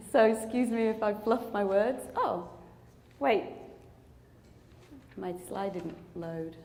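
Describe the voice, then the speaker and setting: A woman with a British accent talks very slowly, with long, frequent pauses, at a fairly high pitch and ordinary pitch variation. Noticeable background noise and audible room echo fill the recording. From England. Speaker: clinical research company executive. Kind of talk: conference presentation.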